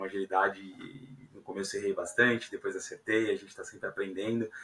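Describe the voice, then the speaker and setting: A man's voice at a moderate pace. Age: 30s. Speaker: software engineering leader. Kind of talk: podcast interview. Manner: hesitant, many fillers.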